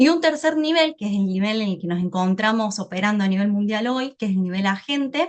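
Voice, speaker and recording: With a non-native accent and a fairly high voice, a woman speaks at a moderate pace. Her intonation is lively. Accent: foreign accent noticeable (non-Spain). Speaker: AI business speaker. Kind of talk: webinar presentation.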